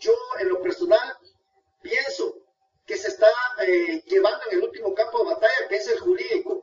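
A man's voice at a moderate pace, full of very wide pitch swings. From Guatemala. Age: 50s. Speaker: lawyer. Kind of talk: radio interview.

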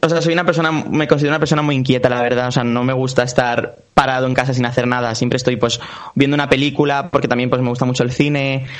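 The speech comes at a very fast pace. Noticeable background noise and audible room echo are present. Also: man. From Valencia region, Spain (Puerto de Sagunto). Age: 20s. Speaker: singer and actor. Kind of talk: interview.

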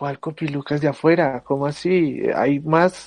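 Here is a man with a plain, everyday voice, fairly high in pitch. He speaks at a fairly slow pace with fairly even intonation. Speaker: university student podcast co-host. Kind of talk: casual chat.

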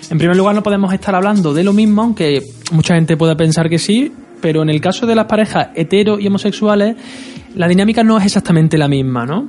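A high-voiced man at a very fast pace, with ordinary pitch variation, very even loudness and noticeable background noise. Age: 20s. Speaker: sexologist and radio co-host. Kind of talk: radio talk show discussion.

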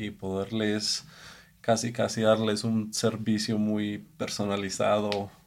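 This man talks at a very slow pace in a flat, monotone delivery with a fairly low pitch. The recording is very clean, with a silent background. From Colombia. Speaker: executive chef. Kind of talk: casual chat. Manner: halting.

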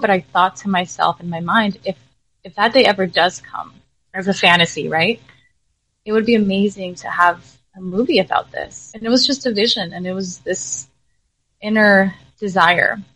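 A medium-pitched woman at a moderate pace, with big swings in loudness, long, frequent pauses and ordinary pitch variation. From US, raised from age four after early childhood in Jalisco, Mexico. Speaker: filmmaker and entrepreneur. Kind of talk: interview.

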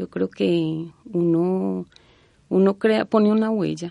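A woman is recorded with a dry, close sound and no echo. The background is quiet. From Colombia, Antioquia. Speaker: university department secretary. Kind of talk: interview.

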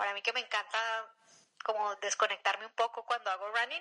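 A woman's fairly high, bright, sharp voice at a fairly quick pace, with fairly even intonation and a dry, close sound with no echo. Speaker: amateur runner. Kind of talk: interview testimony.

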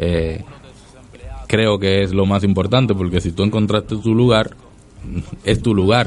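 Long, frequent pauses break up a man's fairly slow, fairly even speech at fairly low pitch. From Dominican Republic. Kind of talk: radio interview.

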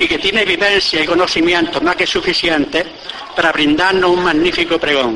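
Through noticeable background noise, a man speaks at a moderate pace with a high pitch and fairly even intonation. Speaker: presenter introducing the orator. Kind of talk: formal introduction speech before a pregón. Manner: formal, measured.

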